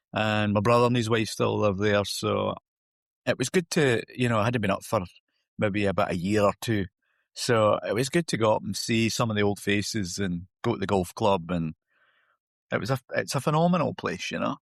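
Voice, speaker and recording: Fairly low in pitch, a man with a northeastern Scottish accent speaks at a moderate pace, the sound dry and close with no echo over a quiet background. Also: ordinary pitch variation. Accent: Scottish, north-east. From north-east Scotland, Huntly. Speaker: golf coach. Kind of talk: podcast interview. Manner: hesitant, repeating words.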